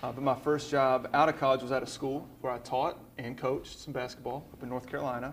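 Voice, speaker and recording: Talking at a very fast pace with hardly any pauses, a man with a Southern US accent keeps a medium pitch and monotone, flat intonation. Room echo is audible. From Birmingham, Alabama. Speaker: college basketball operations coordinator. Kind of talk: church talk interview.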